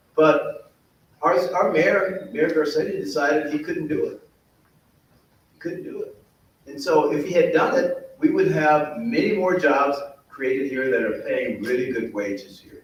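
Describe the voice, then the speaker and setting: A man talks at a fairly slow pace with big swings in loudness. Audible room echo surrounds his voice. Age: 60s. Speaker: mayoral candidate. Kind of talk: candidate forum answer.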